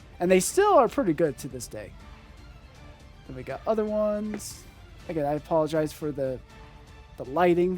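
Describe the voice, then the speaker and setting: A fairly high-pitched man with lively intonation at a moderate pace, music in the background. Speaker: trading card collector. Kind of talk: casual talk to camera. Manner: unscripted, stuttering, hesitant.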